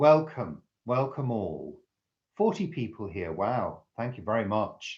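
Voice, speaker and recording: A man talks very slowly at medium pitch, with vocal fry. His intonation is lively. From northwest England. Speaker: live-stream host. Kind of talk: live chat reading viewer comments. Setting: live stream. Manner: clear, careful enunciation.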